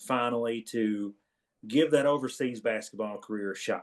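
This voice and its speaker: A man speaks at a moderate pace with a medium pitch. He has an Eastern Kentucky accent. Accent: Eastern Kentucky twang. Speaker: podcast co-host, former college basketball player. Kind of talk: casual chat.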